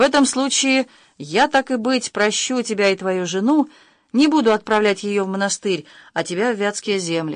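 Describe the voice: Plain reading aloud, marked by ordinary pitch variation.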